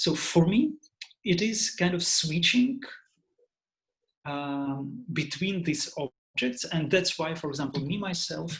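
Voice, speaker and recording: A man with a high voice talks at a fairly slow pace. He leaves long, frequent pauses. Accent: Russian. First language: Russian. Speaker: composer. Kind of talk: online Q&A talk. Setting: video call. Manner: halting.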